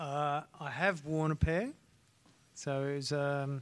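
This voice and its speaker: Over a silent background in a very clean recording, a man with an Australian accent talks at a fairly high pitch with fairly even intonation. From North Queensland, Australia. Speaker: strength and conditioning coach, former ballet dancer. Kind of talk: live panel discussion. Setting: stage with live audience.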